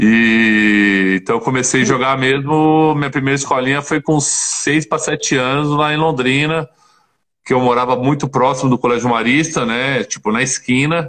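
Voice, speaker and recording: This man has a plain, everyday voice at medium pitch with ordinary pitch variation. He keeps a moderate pace and very even loudness. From Paraná and interior São Paulo, Brazil. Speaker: former professional basketball player. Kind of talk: casual interview.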